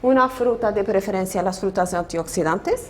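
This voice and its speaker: At a moderate pace, a woman with a non-native accent speaks at a medium pitch with lively intonation. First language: Portuguese (speaking Spanish). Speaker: nutrition professor. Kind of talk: lecture. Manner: halting.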